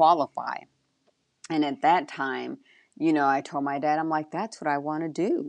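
In a dry, close recording with no echo, a woman with a very deep, low pitch and a warm tone speaks at a moderate pace with fairly even intonation. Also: quiet background. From Texas. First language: Spanish. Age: 40s. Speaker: drag racing motorcycle racer. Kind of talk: casual interview chat. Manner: warm, laughs often.

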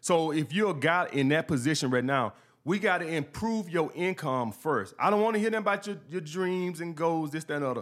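A man with an American accent talks at a fairly quick pace with hardly any pauses, using a high pitch and lively intonation. The recording is very clean, with a silent background. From New York. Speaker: YouTube dating advice commentator. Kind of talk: casual interview chat.

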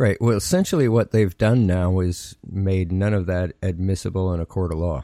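Speaking in a Canadian accent with a dark, mellow tone, the voice moves at a moderate pace with hardly any pauses and ordinary pitch variation, recorded very cleanly with a silent background and a dry, close sound without echo. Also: man, very deep, low pitch for a man. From Canada. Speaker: political podcast host. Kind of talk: casual political chat.

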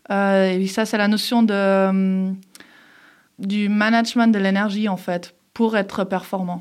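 A woman's medium-pitched voice, very slow, with monotone, flat intonation and long, frequent pauses. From Geneva, Switzerland (from age 11). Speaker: former elite judoka and entrepreneur. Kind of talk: interview. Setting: studio.

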